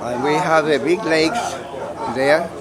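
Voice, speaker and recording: A man with a Colombian accent speaks in a fairly high pitch with lively intonation. Room echo is audible, and a crowd can be heard behind him. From Colombia, Cali. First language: Spanish. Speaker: model sailboat club member. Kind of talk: casual interview. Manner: halting.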